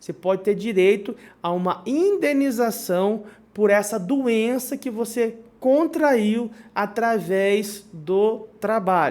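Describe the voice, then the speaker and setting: A man's high pitch with ordinary pitch variation. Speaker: lawyer. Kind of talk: legal explainer video. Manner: halting, many fillers.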